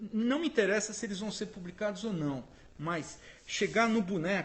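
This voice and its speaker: A man's high voice at a moderate pace with ordinary pitch variation, over noticeable background noise. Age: 60s. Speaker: photographer. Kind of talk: interview.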